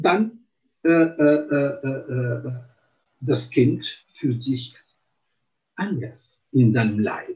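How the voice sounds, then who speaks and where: With an Italian accent, a man speaks at a very slow pace with long, frequent pauses, somewhat breathy, at a medium pitch with ordinary pitch variation. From Italy. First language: Italian (speaking German). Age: 50s. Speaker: psychomotor therapist. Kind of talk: interview. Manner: halting, many fillers.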